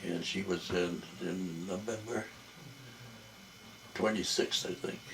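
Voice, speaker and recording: Over noticeable background noise and audible room echo, a man talks very slowly at a very deep, low pitch with fairly even intonation. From Jamaica. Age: old. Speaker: family elder interviewed by his son. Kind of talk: family interview. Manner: halting.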